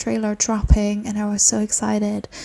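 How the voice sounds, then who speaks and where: In a very clean recording with a silent background, a woman speaks quietly at a moderate pace, her medium-pitched voice carrying a dark, mellow tone. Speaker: gaming reaction youtuber. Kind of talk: reaction video chat.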